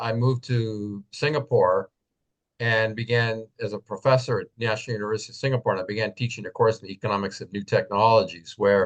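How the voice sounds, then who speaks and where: A man with an unremarkable speaking voice talks at a medium pitch and a moderate pace, with fairly even intonation and a dry, close sound with no echo. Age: 60s. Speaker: professor and technology analyst. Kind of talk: interview webinar talk.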